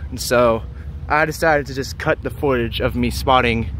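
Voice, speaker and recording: The speech moves at a fairly slow pace in a dry sound with no echo, with light background noise. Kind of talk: casual vlog commentary. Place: street. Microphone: phone near.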